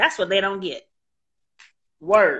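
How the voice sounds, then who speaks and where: A woman's animated, warm tone against a quiet background. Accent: American. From San Francisco, California. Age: 50s. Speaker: interview show host and podcaster. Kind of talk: casual interview chat. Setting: live video stream from a studio.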